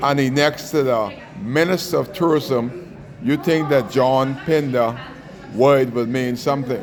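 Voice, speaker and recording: Amid noticeable background noise and audible room echo, a man speaks at a fairly slow pace with medium pitch, ordinary pitch variation, and very even loudness. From Bahamas. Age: 60s. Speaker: taxi union advocate. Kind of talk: angry rant. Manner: animated.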